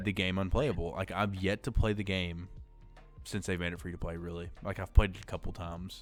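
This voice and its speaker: With music in the background, a man talks fairly quickly at a very deep, low pitch, his intonation fairly even and his loudness swinging widely. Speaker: podcast host. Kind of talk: casual podcast conversation.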